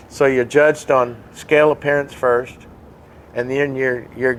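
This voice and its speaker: In a monotone, flat intonation, a man speaks at a moderate pace. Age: 70s. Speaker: pilot and model aircraft builder. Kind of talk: casual interview. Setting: in a hangar. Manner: halting, frequent repetitions.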